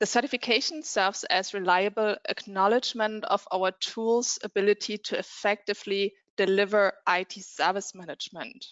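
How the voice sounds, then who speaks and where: The speaker keeps a moderate pace, and the pitch varies in an ordinary way. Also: woman. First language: not English. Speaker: software vendor representative. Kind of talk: reading aloud; panel discussion.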